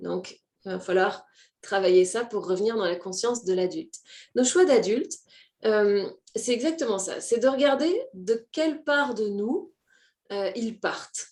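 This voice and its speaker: A woman with a fairly high pitch talks at a fairly slow pace, leaving long, frequent pauses. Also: lively intonation. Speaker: personal development coach. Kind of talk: live stream talk to viewers. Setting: online live stream. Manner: hesitant with many fillers.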